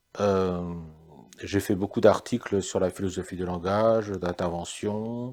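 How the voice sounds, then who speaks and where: Speaking at a very slow pace, a man uses a very deep, low pitch and a dark, mellow tone. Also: very clean recording, silent background. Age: 60s. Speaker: psychiatrist. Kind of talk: interview. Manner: halting.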